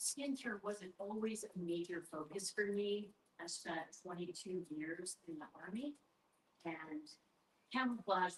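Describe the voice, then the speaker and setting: A woman with an unremarkable speaking voice and a medium pitch talks at a fairly slow pace, using ordinary pitch variation. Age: 60s. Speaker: doctor of natural medicine, army veteran. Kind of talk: sales pitch.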